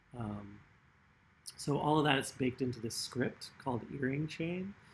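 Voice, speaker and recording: This man's voice is medium in pitch, somewhat breathy, with ordinary pitch variation. He speaks fairly slowly. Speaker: artist running a workshop. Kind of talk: tutorial. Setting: online livestream workshop. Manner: casual, many fillers.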